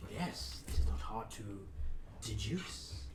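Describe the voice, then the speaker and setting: Against loud background noise, a man does a put-on character voice at a fairly slow pace. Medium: actual play. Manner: deadpan.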